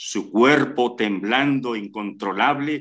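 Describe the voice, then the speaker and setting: With lively intonation, a man speaks very slowly over a quiet background. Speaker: story narrator. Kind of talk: dramatic suspense narration, reading a short story aloud. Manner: slow, hushed and tense, building suspense. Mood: suspenseful, dramatic. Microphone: video call.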